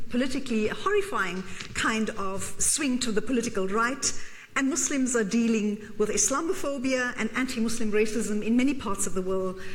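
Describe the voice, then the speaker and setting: Fairly quick and fairly high, a woman's voice with ordinary pitch variation and very even loudness comes through noticeable background noise and audible room echo. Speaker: professor. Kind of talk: lecture. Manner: fast.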